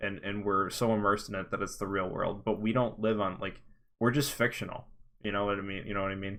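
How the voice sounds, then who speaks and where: Flat and monotone, a man speaks at a very fast pace with a fairly low pitch. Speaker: podcast co-host. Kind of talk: casual chat.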